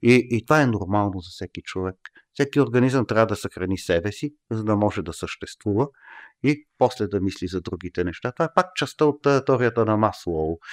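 Using a plain, everyday voice, a man speaks at a fairly low pitch and a moderate pace with lively intonation. The recording is very clean, with a silent background and a dry, close sound with no echo. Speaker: professor. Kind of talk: casual chat. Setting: studio.

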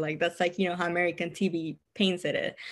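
A woman's fairly low voice at a fairly quick pace, with fairly even intonation. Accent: Cuban. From Cuba. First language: Spanish. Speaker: therapist. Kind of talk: casual interview chat. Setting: remote call.

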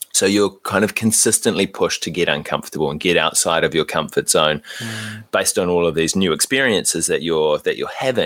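With a New Zealand accent, a man speaks at a fairly quick pace. He takes hardly any pauses. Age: 30s. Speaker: podcaster. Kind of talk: casual chat.

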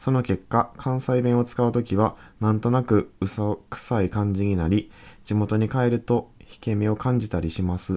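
On a very clean recording with a silent background, a man speaks at a moderate pace with a fairly low pitch, a dark, mellow tone and fairly even intonation. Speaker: podcast co-host. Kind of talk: casual chat. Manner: reads listener letters aloud.

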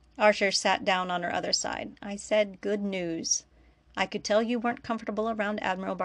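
A natural voice reading aloud, intonation fairly level

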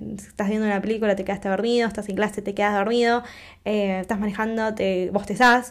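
Against a silent background in a very clean recording, a woman talks at a very fast pace with a medium pitch and an animated tone. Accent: Rioplatense. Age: 20s. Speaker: podcast host. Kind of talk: casual monologue.

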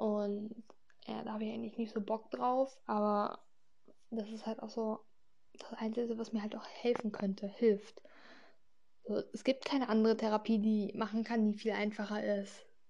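A woman speaks at a fairly high pitch with a somewhat breathy, dark, mellow tone. Her moderate-paced delivery is monotone and flat, with long, frequent pauses. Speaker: podcaster talking about her health. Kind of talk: casual personal monologue. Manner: hesitant, many fillers.

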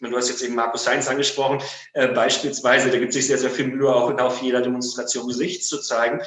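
A man talking at a very fast pace, with audible room echo and noticeable background noise. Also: medium pitch for a man, fairly even intonation. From Germany, Münster (Westphalia). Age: 40s. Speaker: lawyer. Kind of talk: interview. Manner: halting, many fillers.

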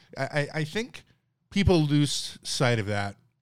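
Very clean sound and a silent background surround this man's speech. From Newfoundland, Canada. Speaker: stand-up comedian. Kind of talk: casual chat.

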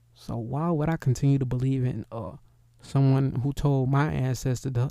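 Keeping a moderate pace and fairly even intonation, a man speaks at a medium pitch with a dark, mellow tone. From US inner city. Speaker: livestream host. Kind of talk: casual monologue. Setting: live stream.

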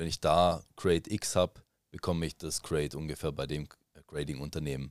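In a dry, close recording with no echo, a man speaks at a very deep, low pitch with vocal fry and a fairly quick pace, his intonation fairly even while his loudness swings widely. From Germany. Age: 30s. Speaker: Pokémon card collector and streamer. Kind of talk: casual chat.

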